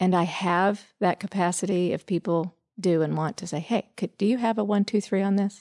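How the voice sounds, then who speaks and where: A woman with a normal speaking voice and medium pitch talks at a moderate pace with hardly any pauses and fairly even intonation, recorded with a dry, close sound, no echo and a quiet background. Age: 40s. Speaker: psychotherapist. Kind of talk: casual chat. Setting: studio.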